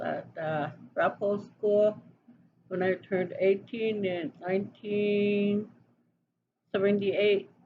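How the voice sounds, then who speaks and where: A woman speaks very slowly in a medium pitch, her voice somewhat breathy. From Wyoming, Wind River Reservation (Northern Arapaho). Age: 60s. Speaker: interviewee. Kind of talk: interview. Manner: hesitant, with many fillers.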